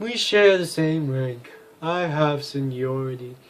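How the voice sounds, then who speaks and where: Using a put-on character voice, a man speaks with a fairly high pitch, a fairly slow pace and ordinary pitch variation. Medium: game stream. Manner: curt, irritable.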